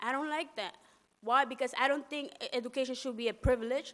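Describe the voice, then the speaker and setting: Talking at a very fast pace, a woman with a high pitch speaks with a Spanish accent. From Latin America, raised in New York City. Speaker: undocumented student activist. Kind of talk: testimony. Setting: press conference. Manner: halting.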